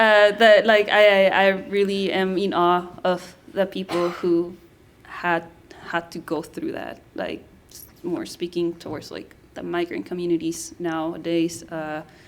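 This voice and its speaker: A woman's fairly low voice in a Spanish accent, at a fairly slow pace. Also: fairly even intonation, big swings in loudness. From Guatemala. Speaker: anthropologist. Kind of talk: panel discussion. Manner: halting.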